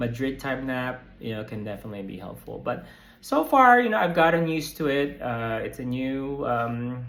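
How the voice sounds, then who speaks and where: A man talks at a fairly quick pace in a medium pitch with ordinary pitch variation, and the room echo is audible. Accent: American. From United States. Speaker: psychotherapist and vlogger. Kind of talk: casual vlog update. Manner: hesitant, many fillers and repeats.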